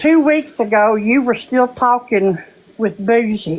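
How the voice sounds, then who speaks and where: Lively intonation carries speech delivered at a very slow pace. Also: woman. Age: 60s. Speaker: livestream participant. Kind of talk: heated debate.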